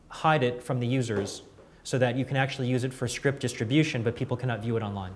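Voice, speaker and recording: A man speaking at a very fast pace amid audible room echo. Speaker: software company presenter. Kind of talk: product demo at industry event. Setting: conference room with audience.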